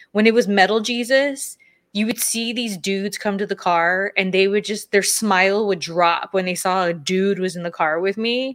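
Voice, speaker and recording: A woman with an ordinary speaking voice talks at medium pitch and a moderate pace, with ordinary pitch variation, hardly any pauses, and a very clean recording with a silent background. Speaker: podcast co-host, former wrestler and content creator. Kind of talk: casual chat. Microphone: new audio equipment, first time using it.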